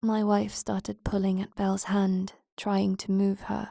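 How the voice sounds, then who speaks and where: A soft-spoken woman talks at a fairly slow pace. The recording is very clean, with a silent background. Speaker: horror narrator. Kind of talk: horror story narration.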